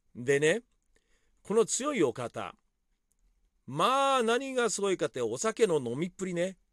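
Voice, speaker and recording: A high-pitched man speaks fairly slowly, leaving long, frequent pauses and swinging his pitch very widely. The recording is very clean, with a silent background and a dry, close sound with no echo. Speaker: podcaster and club DJ. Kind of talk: casual monologue.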